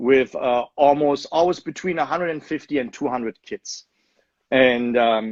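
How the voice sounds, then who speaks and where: A man with a German accent and fairly high pitch, with ordinary pitch variation, at a moderate pace, in a dry, close sound with no echo against a quiet background. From Germany, Leverkusen. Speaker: soccer club owner. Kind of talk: interview.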